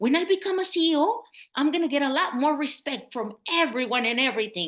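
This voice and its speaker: The speaker has a Mexican accent and lively intonation. The background is quiet. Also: woman. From Mexico. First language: Spanish. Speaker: public health consultant. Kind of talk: interview.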